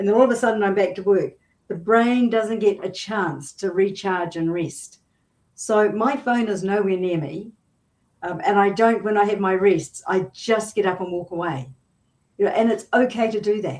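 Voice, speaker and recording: A woman with a New Zealand accent, medium in pitch, with ordinary pitch variation and a moderate pace. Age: 70s. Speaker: business coach. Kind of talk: interview.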